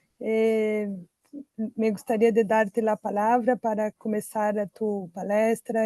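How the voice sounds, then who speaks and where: Speaking with a Portuguese accent, a woman has a fairly high pitch and a dark, mellow tone. She goes at a fairly slow pace, and the sound is dry and close with no echo. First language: Portuguese (speaking Spanish). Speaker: seminar moderator. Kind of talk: formal introduction. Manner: halting.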